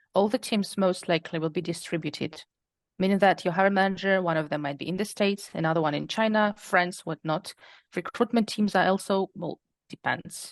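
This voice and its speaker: A woman's medium-pitched voice with a non-native accent, fairly quick pace and fairly even intonation, recorded dry and close with no echo against a quiet background. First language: not English. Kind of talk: interview.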